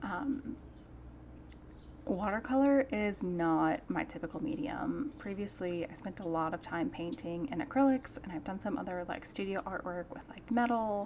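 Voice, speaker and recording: A soft-spoken voice moves through very wide pitch swings. The pace is moderate. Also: woman, medium pitch for a woman. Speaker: artist. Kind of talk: casual chat. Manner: relaxed.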